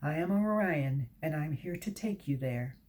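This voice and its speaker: A woman puts on a character voice with a very deep, low pitch, keeping her loudness very even. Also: moderate pace. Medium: read story. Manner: polite, courteous.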